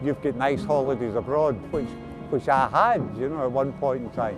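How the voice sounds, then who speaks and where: A man speaks at a moderate pace in a Glasgow accent, his pitch fairly high with ordinary variation. Music plays in the background. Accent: Scottish (Glasgow). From Glasgow, Scotland. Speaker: Big Issue seller, formerly homeless. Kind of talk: documentary interview answer. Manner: reflective, hesitant.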